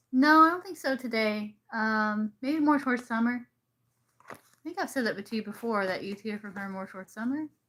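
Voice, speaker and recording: Her intonation lively, a woman with an American accent speaks at a high pitch. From US South, South Carolina. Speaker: tarot reader. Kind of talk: live stream reading. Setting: live stream.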